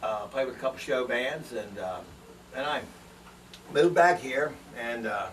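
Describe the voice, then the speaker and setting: In an American accent, the speaker talks at a moderate pace with ordinary pitch variation over noticeable background noise. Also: man. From Washington, D.C. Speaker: drummer. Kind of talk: band promo self-introduction.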